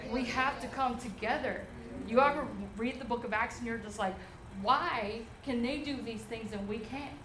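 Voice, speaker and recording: Against noticeable background noise, a woman with a high pitch speaks at a moderate pace with fairly even intonation. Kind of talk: testimony. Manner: casual.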